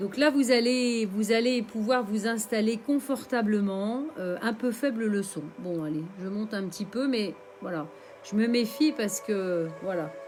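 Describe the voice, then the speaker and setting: A woman with a fairly high pitch speaks at a fairly slow pace, with ordinary pitch variation. Noticeable background noise runs underneath. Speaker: meditation teacher. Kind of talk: live stream guided meditation. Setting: live stream. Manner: halting, many fillers.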